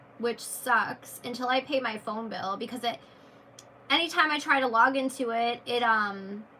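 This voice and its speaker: Noticeable background noise accompanies a woman with a high pitch and ordinary pitch variation speaking at a moderate pace. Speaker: YouTuber and tarot reader. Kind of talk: live stream chat with viewers. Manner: casual, with self-corrections and repeats.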